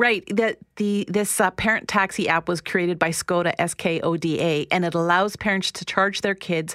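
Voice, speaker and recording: At a moderate pace, a woman with a normal speaking voice talks in a fairly low pitch and fairly even intonation, the sound dry and close with no echo. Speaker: counsellor. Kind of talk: radio interview. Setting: studio.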